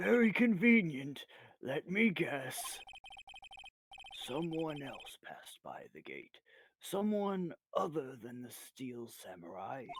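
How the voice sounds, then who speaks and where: A raspy put-on character voice at a middle pitch moves at a fairly slow pace, with long, frequent pauses. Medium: actual play. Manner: formal, measured.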